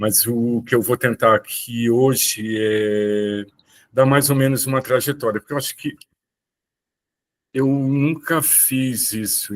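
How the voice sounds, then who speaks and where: In a very clean recording with a silent background and a dry, close sound with no echo, a man with an unremarkable speaking voice talks at a fairly slow pace with ordinary pitch variation. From Brazil, Rio de Janeiro and Olinda. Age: 60s. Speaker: visual artist. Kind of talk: talk on own career.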